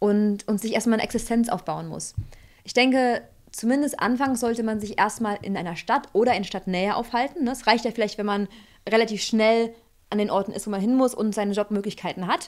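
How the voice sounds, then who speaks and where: A woman speaks fairly quickly in a plain, everyday voice, pitched fairly high. Her intonation stays fairly even over a quiet background. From rural Germany. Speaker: emigrant, co-host; co-host. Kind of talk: casual discussion. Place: home room. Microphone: studio mic.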